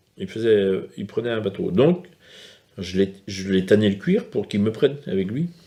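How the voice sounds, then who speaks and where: This is a man speaking. He goes at a very slow pace. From France, Brittany, Morbihan island. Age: 60s. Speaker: fisherman. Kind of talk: documentary interview. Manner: hesitant.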